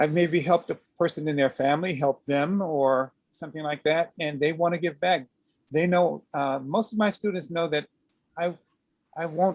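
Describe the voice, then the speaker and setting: This man has an ordinary speaking voice, pitched fairly high. He talks at a moderate pace with ordinary pitch variation. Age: 60s. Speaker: aikido teacher. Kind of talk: interview.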